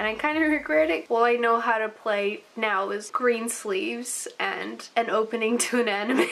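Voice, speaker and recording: With noticeable background noise behind her, a woman with a fairly high pitch talks with hardly any pauses. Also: ordinary pitch variation, moderate pace. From New Zealand (from age five; born Russian-speaking). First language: Russian. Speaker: artist YouTuber. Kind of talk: casual Q&A while drawing.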